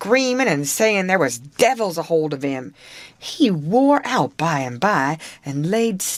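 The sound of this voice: The voice reads in an unforced way. Nothing about the delivery sounds pushed.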